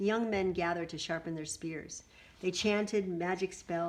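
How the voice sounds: A natural reading voice is what this recording holds.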